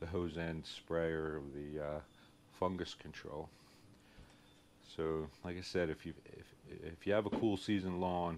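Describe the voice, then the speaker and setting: A man with a strong Philadelphia accent speaks in a very deep, low voice. He goes at a fairly slow pace with fairly even intonation and long, frequent pauses. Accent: heavy Philadelphia. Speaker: lawn care YouTuber. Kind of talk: casual vlog tutorial. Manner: hesitant, many fillers.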